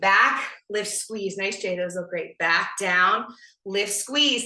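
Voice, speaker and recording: With audible room echo, a woman speaks at a fairly slow pace in an energetic tone. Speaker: fitness instructor. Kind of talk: live fitness class instruction. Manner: energetic, encouraging.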